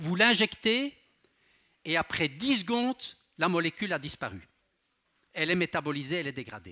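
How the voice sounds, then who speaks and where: A man with a slight Belgian accent speaks at a moderate pace, leaving long, frequent pauses. His high, bright, sharp voice swings very widely in pitch over a quiet background. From Belgium. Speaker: pharmacology professor and researcher; pharmacology professor. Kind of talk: public science lecture. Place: hall. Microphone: headset.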